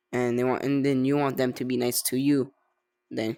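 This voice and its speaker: In a very clean recording against a silent background, the speaker keeps a medium tempo. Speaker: gaming YouTuber. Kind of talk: casual gaming commentary. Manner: halting; animated.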